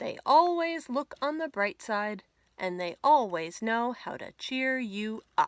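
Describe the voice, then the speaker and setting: In a very clean recording with a silent background and a dry, close sound free of echo, a woman does a put-on character voice, speaking fairly slowly at a high pitch with very wide pitch swings and big shifts in loudness. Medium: read story. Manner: polite, fretful.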